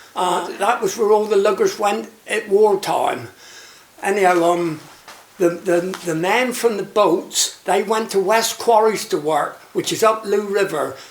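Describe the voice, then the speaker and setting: A man with a Cornish accent speaks fairly slowly in a high voice with ordinary pitch variation. Noticeable background noise sits behind him. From Cornwall, Looe. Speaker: retired fisherman and shark angling skipper. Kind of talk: oral history interview. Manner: halting.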